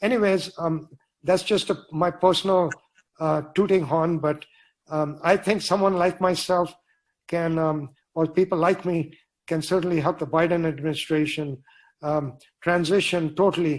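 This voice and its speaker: At a moderate pace, the speech moves with fairly even intonation and long, frequent pauses. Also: man, high pitch for a man. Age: 70s. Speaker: author and climate engineer. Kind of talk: Q&A answer at book launch. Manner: halting, many fillers.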